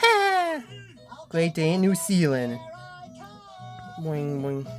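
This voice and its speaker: Over clear background music, a cartoonish character voice at middle pitch speaks at a very slow pace. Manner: excitable, silly.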